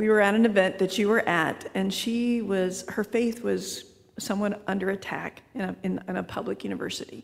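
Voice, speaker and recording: A woman talks at a fairly quick pace with fairly even intonation and vocal fry. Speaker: audience member.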